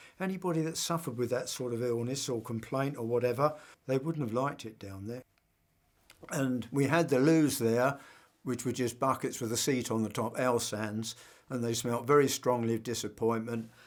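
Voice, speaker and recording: In a southern English accent, a man talks at a moderate pace and medium pitch with ordinary pitch variation. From southern England. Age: 80s+. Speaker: war veteran. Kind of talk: testimony.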